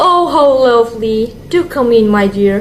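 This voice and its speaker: Using a put-on character voice, a woman speaks at a moderate pace with a croaky, hoarse sound at fairly high pitch, with clear background noise behind her. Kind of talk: storybook reading. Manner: sweet and coaxing, feigned.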